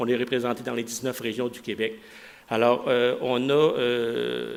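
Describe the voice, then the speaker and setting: Vocal fry marks this voice. It belongs to a man. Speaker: executive director of a municipal recreation association. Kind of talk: conference presentation. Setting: conference with audience. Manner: fast.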